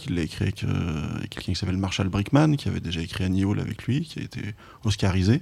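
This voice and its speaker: A man with a fairly low, dark, mellow and somewhat breathy voice speaks at a fairly quick pace with ordinary pitch variation on a very clean recording with a silent background. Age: 40s. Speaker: film journalist and documentary director. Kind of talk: casual interview chat about film. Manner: halting, many hesitations and repetitions.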